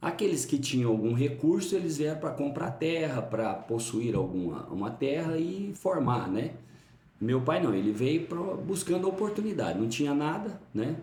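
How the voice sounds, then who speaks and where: A man talks at a moderate pace with a fairly high pitch and very wide pitch swings, with noticeable background noise and audible room echo. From Brazil, Uberlândia, Minas Gerais. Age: 50s. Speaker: pastor. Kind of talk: interview, life story. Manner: halting.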